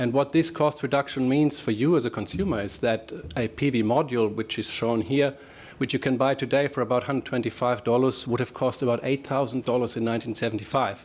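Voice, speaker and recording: A man talks at a very fast pace. He speaks with a German accent. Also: medium pitch for a man, ordinary pitch variation. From Germany. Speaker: professor. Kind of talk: presentation. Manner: halting, with fillers.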